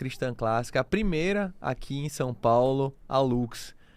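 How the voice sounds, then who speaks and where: This very clean recording with a silent background carries a voice with an ordinary pitch variation and a northeastern Brazilian accent. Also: man. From Recife, northeastern Brazil. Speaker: podcast host. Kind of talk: casual chat.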